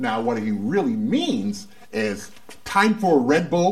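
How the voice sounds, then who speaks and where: At a very slow pace, a man talks with very wide pitch swings while noticeable background noise continues. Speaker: talk show host. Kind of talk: comedy talk show hosting, banter. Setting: studio with live audience. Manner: animated, joking.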